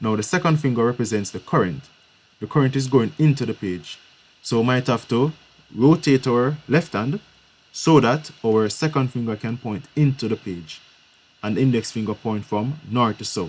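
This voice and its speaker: The delivery is at a moderate pace, with ordinary pitch variation in a normal speaking voice. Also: man, medium pitch for a man. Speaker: physics teacher. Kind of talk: live online lesson.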